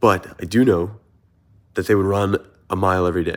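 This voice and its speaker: Fairly quick and animated, a man with an American accent and a fairly low pitch is heard on a very clean recording with a silent background. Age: 20s. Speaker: content creator and runner. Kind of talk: motivational vlog monologue. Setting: sitting on a couch. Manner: casual, animated.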